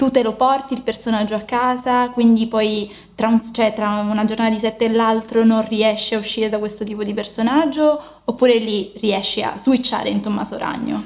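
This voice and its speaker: A woman speaks at a moderate pace in a fairly high pitch, her intonation flat and monotone. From Sicily.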